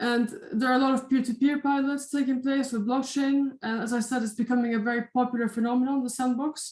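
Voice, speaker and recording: Using flat, monotone intonation, a woman with a Dutch accent speaks very fast in a high pitch. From Netherlands. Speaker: university lecturer. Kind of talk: lecture. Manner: hesitant, many fillers.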